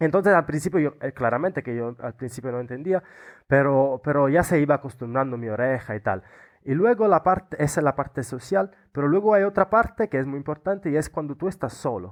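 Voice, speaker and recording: Lively intonation marks this man's fairly high-pitched voice with an Italian accent. He speaks at a fairly quick pace. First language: Italian (speaking Spanish). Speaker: Erasmus student. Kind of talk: interview. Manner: halting.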